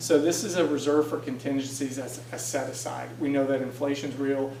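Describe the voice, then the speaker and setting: Audible room echo and noticeable background noise accompany the recording. A man speaks at a fairly quick pace and medium pitch with monotone, flat intonation. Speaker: city budget director, guest speaker. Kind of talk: presentation. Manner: fast; hesitant, many fillers.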